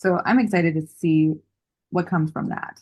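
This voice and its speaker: A woman's fairly low, somewhat breathy voice, dark and mellow in tone, at a fairly quick pace. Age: 30s. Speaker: podcast host. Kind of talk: podcast interview.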